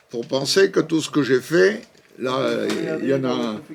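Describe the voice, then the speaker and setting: Noticeable background noise accompanies this clip. A man talks at a medium pitch with ordinary pitch variation. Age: 80s+. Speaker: interviewee, promoter of the French language abroad. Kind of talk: casual interview. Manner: halting.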